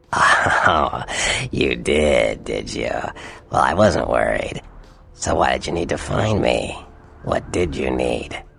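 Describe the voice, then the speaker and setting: A man puts on a raspy character voice with a very deep, low pitch and a smug tone, speaking fairly slowly with long, frequent pauses. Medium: video game. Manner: smug, drawling.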